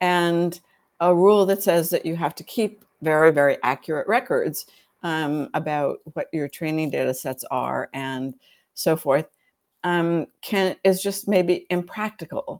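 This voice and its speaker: Recorded very cleanly with a silent background and a dry, close sound with no echo, an unremarkable speaking voice with an American accent moves at a fairly slow pace with ordinary pitch variation. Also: woman, fairly low pitch for a woman. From United States. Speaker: law professor. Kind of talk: interview.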